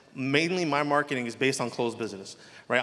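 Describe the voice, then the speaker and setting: Talking at a very fast pace, a man with a strong New Jersey accent speaks at medium pitch. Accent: heavy New Jersey. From New Jersey, Elizabeth. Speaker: mortgage loan officer. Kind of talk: panel discussion.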